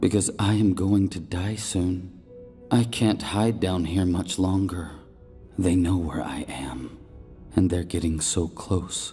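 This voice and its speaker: Over clear music in the background, a man puts on a character voice that rumbles at a very deep, low pitch and a fairly slow pace. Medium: read story. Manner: irreverent, contemptuous.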